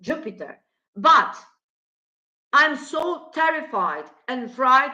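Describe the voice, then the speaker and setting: With a non-native accent, a woman projects a raised, high-pitched voice of bright, sharp tone, speaking at a very slow pace with ordinary pitch variation. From former Yugoslavia. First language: Slavic language. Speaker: astrologer. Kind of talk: monologue on astrology and politics. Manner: halting.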